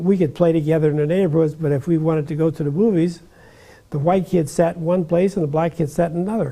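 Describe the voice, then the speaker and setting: With an American accent, a man speaks at a fairly high pitch in a dark, mellow tone with fairly even intonation. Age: 90s. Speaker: retired judge. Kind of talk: interview, personal recollection. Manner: halting, many fillers and repetitions.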